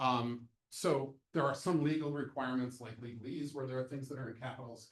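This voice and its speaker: Speaking at a fairly quick pace, a man with a medium pitch sounds somewhat breathy, holding a fairly even intonation amid big swings in loudness. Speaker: accessibility trainer. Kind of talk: lecture. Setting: presentation room with audience and Zoom. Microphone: sound issues for Zoom listeners.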